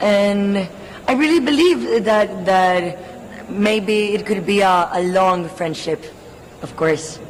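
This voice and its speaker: With lively intonation and medium pitch, a woman speaks very slowly amid noticeable background noise and audible room echo. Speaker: beauty pageant contestant. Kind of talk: press interview. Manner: animated.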